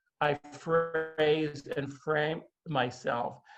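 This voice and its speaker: The voice is somewhat breathy, with monotone, flat intonation. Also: man. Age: 60s. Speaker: author. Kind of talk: interview conversation. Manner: halting.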